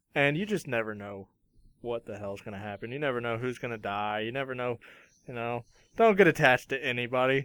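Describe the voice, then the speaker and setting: On a very clean recording with a silent background, a man uses a normal speaking voice at medium pitch and a fairly quick pace, with ordinary pitch variation and big swings in loudness. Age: 20s. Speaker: anime podcast co-host. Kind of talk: casual chat.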